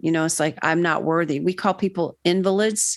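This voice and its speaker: A woman with an American accent and a plain, everyday voice speaks at a fairly quick pace and fairly low pitch against a quiet background. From Florida, US. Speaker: mental health counsellor. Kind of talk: interview conversation.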